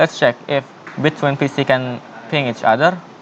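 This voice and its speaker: Amid noticeable background noise, a man talks at a moderate pace with a medium pitch and fairly even intonation. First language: not English. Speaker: networking tutorial presenter. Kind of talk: tutorial. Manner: halting.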